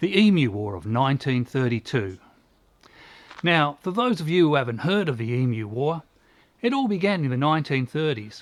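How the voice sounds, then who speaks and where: A man's fairly high voice in an Australian accent, with very wide pitch swings, at a moderate pace. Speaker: host. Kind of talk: comedic history narration to camera.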